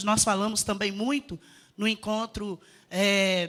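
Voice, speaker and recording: Speaking at a fairly slow pace, a woman with a fairly high voice is heard on a very clean recording with a silent background. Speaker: union delegate asking questions at a conference. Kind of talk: audience question at a lecture. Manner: halting, many fillers and restarts.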